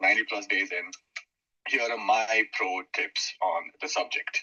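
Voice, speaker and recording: The sound is dry and close, without any echo. The speaker is a man. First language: not English. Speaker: social media space participant. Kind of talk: group discussion. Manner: hesitant, many fillers.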